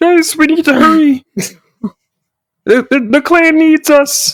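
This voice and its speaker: The put-on character voice is high-pitched and moves at a fairly slow pace. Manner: urgent, earnest.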